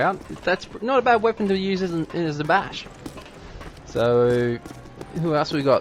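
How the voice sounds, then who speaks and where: Over noticeable background noise, a man with a high pitch makes very wide pitch swings and takes long, frequent pauses. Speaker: game caster / commentator. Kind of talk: live esports match commentary (shoutcast). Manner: fast, matter-of-fact play-by-play.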